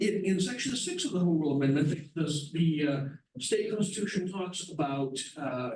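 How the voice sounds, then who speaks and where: A man's high-pitched voice with audible room echo. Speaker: lawyer presenting to town residents. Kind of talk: public presentation. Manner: fast.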